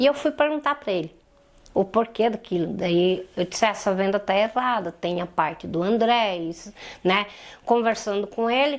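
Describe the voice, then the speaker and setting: A woman with a normal speaking voice talks at a moderate pace, her medium pitch carried by lively intonation. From Santa Catarina, southern Brazil. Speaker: polio survivor and domestic violence survivor. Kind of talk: interview testimony.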